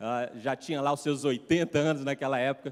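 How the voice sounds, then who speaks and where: The man's voice sits fairly high, with intonation that stays fairly even. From Brazil, Minas Gerais. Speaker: pastor. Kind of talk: sermon. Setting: church.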